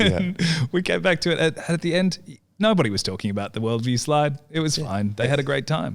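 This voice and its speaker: A fairly high-pitched man with an Australian accent, fairly quick in pace and full of very wide pitch swings. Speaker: podcast host, marketing agency general manager. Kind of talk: podcast host talk.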